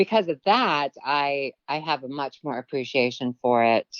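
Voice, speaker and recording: In a very deep, low voice, a woman talks at a fairly slow pace. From Philippines and Guam. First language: Tagalog. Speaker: actress and producer. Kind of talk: interview conversation.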